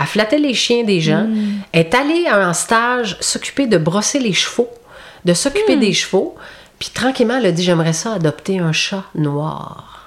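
Speaking at a fairly slow pace, a woman's pitch swings very widely. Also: medium pitch for a woman. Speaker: youth protection clinical counsellor. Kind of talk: interview.

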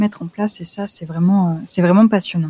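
A woman's somewhat breathy voice holds a medium pitch and fairly even intonation. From France, Lyon region. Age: 20s. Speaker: traveler and freelance photographer. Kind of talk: interview conversation. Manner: hesitant, many repeated words.

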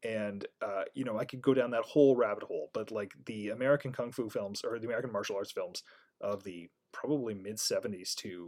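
A man with a Canadian accent and medium pitch speaks at a moderate pace in an unremarkable speaking voice. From Canada. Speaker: tabletop game designer. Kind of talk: interview.

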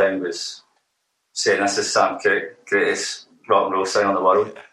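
A man with a Glaswegian accent speaks at a moderate pace. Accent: Glaswegian Scottish. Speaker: musician, band frontman. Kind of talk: casual interview chat. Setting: remote interview. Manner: halting.

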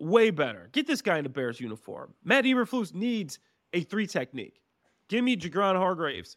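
The recording is very clean, with a silent background. A man speaks at a moderate pace in a high pitch, with very wide pitch swings. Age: 30s. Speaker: podcast co-host and former NFL player. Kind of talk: casual chat.

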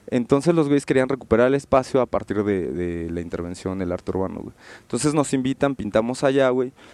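Over a quiet background, a man with an unremarkable speaking voice and medium pitch talks at a fairly quick pace with lively intonation and hardly any pauses, in a dry, close sound with no echo. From Mexico City. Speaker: graffiti artist and illustrator. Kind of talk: casual interview. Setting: radio studio booth.

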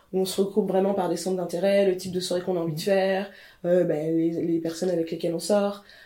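The voice is dark and mellow, delivered fairly quickly in a flat monotone, with audible room echo. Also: woman, medium pitch for a woman. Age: 30s. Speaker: fashion journalist. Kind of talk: casual chat. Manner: halting.

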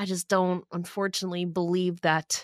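A woman with a fairly low pitch and an unremarkable speaking voice talks at a moderate pace in a dry, close sound with no echo. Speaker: podcast host, wrestling commentator. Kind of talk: casual chat.

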